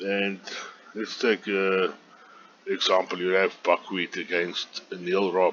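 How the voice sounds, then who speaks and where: With a South African accent, a man speaks very slowly in a very deep, low pitch and a monotone, flat intonation. He leaves long, frequent pauses. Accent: Afrikaans South African. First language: Afrikaans. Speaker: online golf club organizer. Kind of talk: screen tutorial. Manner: halting, many fillers.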